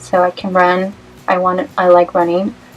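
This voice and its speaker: Over noticeable background noise, a woman with an American accent speaks at a medium pitch. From Los Angeles, US West Coast. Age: 20s. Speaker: vlogger. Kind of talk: casual vlog Q&A. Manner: hesitant, many fillers.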